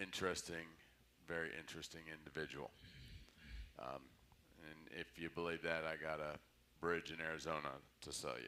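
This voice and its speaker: A man's very deep, low voice with vocal fry and a bright, sharp tone, fairly even in intonation, at a moderate pace with long, frequent pauses. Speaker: Bible study teacher. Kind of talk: Bible study lecture. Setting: church, livestreamed. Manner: casual, conversational.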